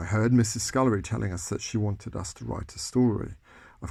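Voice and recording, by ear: Natural-voiced reading aloud, fairly even in intonation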